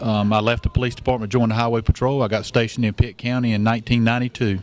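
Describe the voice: Delivered at a fairly quick pace, the voice has a slightly mellow tone and little pitch movement. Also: man.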